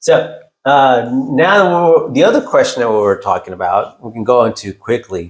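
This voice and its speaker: At a moderate pace, a man with a Texan accent speaks with big swings in loudness. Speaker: real estate agent and podcast co-host. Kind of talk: casual podcast chat.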